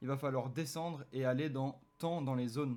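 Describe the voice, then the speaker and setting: Using a normal speaking voice, a man talks at a moderate pace with medium pitch and fairly even intonation. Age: 20s. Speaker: fitness YouTuber, sports nutritionist. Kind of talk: tutorial.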